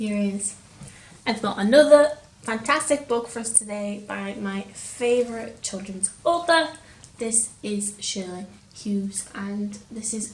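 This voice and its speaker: Speech at a moderate pace with ordinary pitch variation comes through over noticeable background noise. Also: woman. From Lancashire, England. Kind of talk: casual talk to camera.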